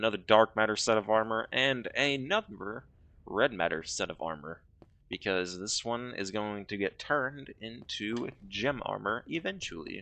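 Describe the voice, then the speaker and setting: A man speaks with a fairly low pitch and lively intonation, his tone bright and sharp. The background is quiet. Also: moderate pace. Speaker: gaming YouTuber. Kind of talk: gameplay commentary. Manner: casual.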